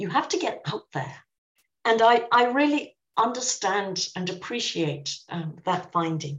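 In a southern English accent, a woman speaks at a medium pitch and a fairly slow pace. She sounds somewhat breathy and uses very wide pitch swings. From southern England. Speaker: professor and author. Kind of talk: interview.

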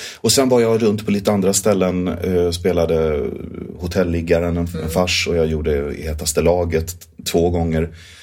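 Very deep, low male voice at a moderate pace, fairly even in intonation, with audible room echo. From southern Sweden (Skåne). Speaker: musical theatre actor and director. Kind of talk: interview.

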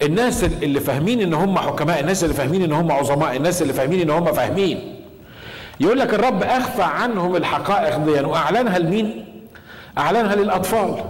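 A man with a high voice sounds animated, speaking at a fairly quick pace with lively intonation and very even loudness. Noticeable background noise and audible room echo fill the recording. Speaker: pastor. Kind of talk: sermon.

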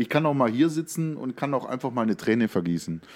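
In a very clean recording with a silent background, a man uses a normal speaking voice at a medium pitch with lively intonation. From Lake Constance region, southern Germany. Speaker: podcast co-host. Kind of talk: casual chat.

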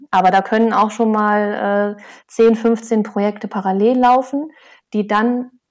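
At a fairly slow pace, a woman talks in an unremarkable speaking voice with medium pitch. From Lower Saxony, Osnabrück area. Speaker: soil scientist and author. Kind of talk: interview.

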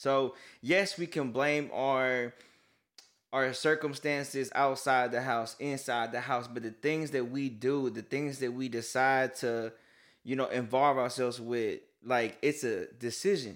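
In a normal speaking voice, a man talks fairly slowly at a medium pitch with fairly even intonation, on a very clean recording with a silent background. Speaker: co-host. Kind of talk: casual faith-based podcast discussion.

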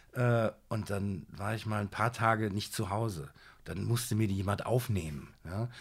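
A man's somewhat breathy, fairly low voice with ordinary pitch variation on a very clean recording with a silent background. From Siegen, North Rhine-Westphalia, Germany. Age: 40s. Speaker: TV judge and author. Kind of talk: casual interview.

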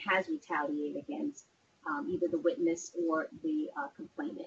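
Her pitch swinging very widely, a woman keeps to a moderate pace. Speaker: court inspector general official. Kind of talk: panel presentation. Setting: video call.

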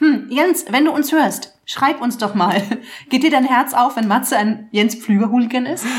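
A woman's high pitch, ordinary pitch variation and moderate pace amid noticeable background noise. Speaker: podcast co-host. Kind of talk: casual chat. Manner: giggly.

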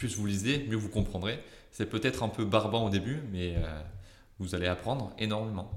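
There is audible room echo around this man's voice. He speaks with fairly low pitch and ordinary pitch variation. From southern France (Marseille area). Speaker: junior software developer. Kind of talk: interview. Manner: halting.

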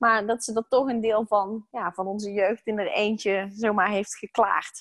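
A woman's medium-pitched voice at a moderate pace, monotone with flat intonation, in a dry, close sound with no echo. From Netherlands, Brabant. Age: 30s. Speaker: stress coach. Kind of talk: interview.

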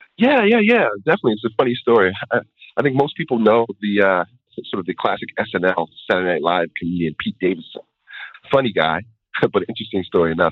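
With a plain, everyday voice, a man speaks at a fairly quick pace, his fairly low pitch carrying lively intonation. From New York area, US. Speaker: music producer and songwriter, educator. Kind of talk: interview. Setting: phone or remote line.

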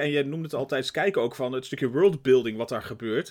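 A man talks at a moderate pace and a fairly high pitch. It is a plain, everyday voice in a very clean recording with a silent background. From Netherlands. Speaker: podcast co-host. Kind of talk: casual chat.

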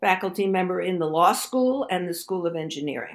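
A woman's medium-pitched, normal speaking voice with ordinary pitch variation, in an American accent. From Brooklyn, New York. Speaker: economics professor. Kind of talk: interview.

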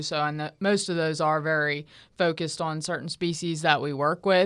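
A woman's fairly low voice with a bright, sharp tone and an American accent, fairly even intonation, a moderate pace and a quiet background. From Southwest Pennsylvania, rural. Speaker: food animal veterinarian. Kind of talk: panel interview.

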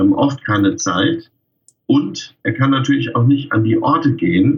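Very slow and somewhat breathy, a man speaks at a fairly high pitch. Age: 50s. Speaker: freelance wedding pastor. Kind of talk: casual interview.

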